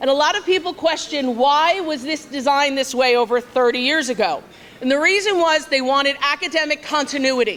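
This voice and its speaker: A loud woman speaks at a fairly quick pace with a high pitch and ordinary pitch variation. There is noticeable background noise. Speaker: school vice principal. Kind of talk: ceremony welcome speech. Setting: banquet hall with large audience.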